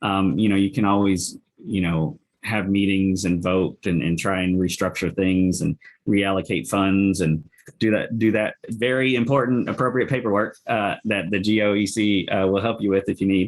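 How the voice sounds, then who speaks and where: A man's plain, everyday voice, fairly low in pitch with ordinary pitch variation, at a moderate pace and very even loudness. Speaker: local early childhood council member. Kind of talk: webinar presentation.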